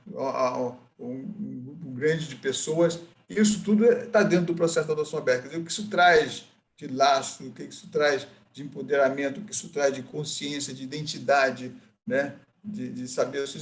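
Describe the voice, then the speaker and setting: Lively intonation and vocal fry mark this man's fairly high-pitched voice as he talks at a fairly quick pace. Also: big swings in loudness. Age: 60s. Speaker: adoptee and adoption advocate. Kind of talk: group discussion. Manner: halting.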